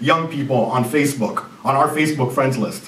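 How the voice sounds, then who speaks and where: A man speaks with a Jamaican accent over noticeable background noise, with audible room echo. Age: 30s. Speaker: business consultant and CEO. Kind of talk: conference presentation.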